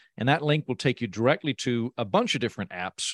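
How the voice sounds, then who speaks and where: A man in an American accent speaks at a medium pitch with a dry, close sound and no echo. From Oklahoma, US. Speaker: comedian and podcast host. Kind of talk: interview. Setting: video call from a treehouse. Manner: animated.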